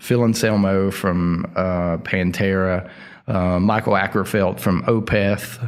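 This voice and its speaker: A drawling man with a strong Appalachian accent, very deep, low pitch, very slow pace, fairly even intonation and very even loudness. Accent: thick Appalachian Southern. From southern West Virginia (Logan). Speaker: heavy metal singer. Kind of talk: casual interview. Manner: slow drawl.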